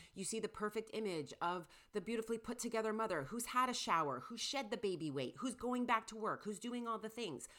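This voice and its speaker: A woman talks at a fairly quick pace with a fairly high pitch and vocal fry. Her intonation is lively. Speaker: podcast co-host, artist mom. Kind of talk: casual interview.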